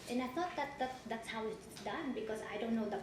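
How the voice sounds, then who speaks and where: Background noise is noticeable, and the room echo is audible. A woman with a Filipino accent speaks at a fairly high pitch with lively intonation. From Philippines, Caloocan City, Luzon. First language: Tagalog. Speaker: witness in divorce hearing. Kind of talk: court testimony. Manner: halting.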